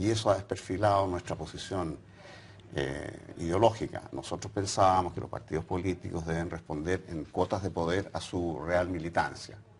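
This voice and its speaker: The man's pitch is very deep and low. He keeps a moderate pace with ordinary pitch variation. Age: 70s. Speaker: former political activist. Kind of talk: interview. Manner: hesitant, with fillers.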